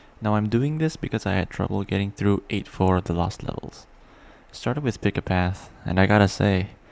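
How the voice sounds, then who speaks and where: A man with a fairly low pitch and ordinary pitch variation speaks at a fairly quick pace in an ordinary speaking voice. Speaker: gaming video creator. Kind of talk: game analysis narration.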